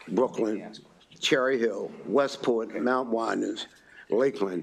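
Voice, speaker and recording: Over noticeable background noise, a man with an American accent talks at a very slow pace. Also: medium pitch for a man, ordinary pitch variation. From Baltimore, Maryland. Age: 70s. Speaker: community coalition director. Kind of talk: legislative testimony. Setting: committee hearing room.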